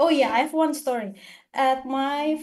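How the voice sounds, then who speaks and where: The speaker talks at a fairly slow pace in an Indonesian accent. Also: woman. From Eastern Indonesia. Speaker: international graduate student. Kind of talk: seminar Q&A answer.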